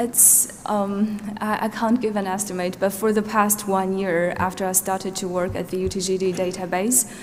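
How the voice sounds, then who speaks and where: A woman with a Xinjiang accent speaks at medium pitch and a moderate pace, flat and monotone with hardly any pauses. Background noise is noticeable. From Norway. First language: Uyghur. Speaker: witness, database researcher. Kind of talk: witness testimony.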